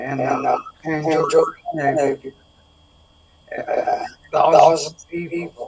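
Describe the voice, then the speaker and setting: Amid noticeable background noise, a man talks at a very slow pace with long, frequent pauses. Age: 70s. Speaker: wellness product seller. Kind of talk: interview. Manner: halting.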